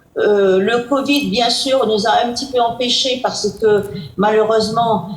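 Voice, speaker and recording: Amid noticeable background noise and audible room echo, the speaker talks at a very slow pace with ordinary pitch variation. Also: woman. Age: 90s. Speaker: president of a domestic violence charity. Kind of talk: interview. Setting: video call. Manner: hesitant.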